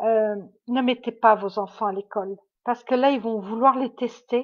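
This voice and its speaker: A woman talks at a fairly slow pace with fairly high pitch. Her intonation is fairly even. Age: 60s. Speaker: medium. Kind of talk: livestream monologue. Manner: halting.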